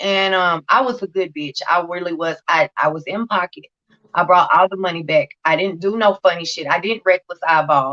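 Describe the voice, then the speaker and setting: Loud and at a moderate pace, a woman speaks in a bright, sharp tone. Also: fairly low pitch for a woman, ordinary pitch variation. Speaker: recovery channel host sharing her story. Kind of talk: testimony. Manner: unusual speech due to hearing loss.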